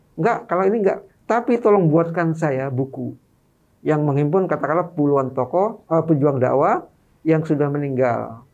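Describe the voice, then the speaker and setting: The background is quiet. A man talks at a moderate pace with a fairly high pitch. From Madura, East Java, Indonesia; East Java, Indonesia. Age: 50s. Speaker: author and activist; guest. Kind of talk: interview. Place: studio. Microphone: studio mic.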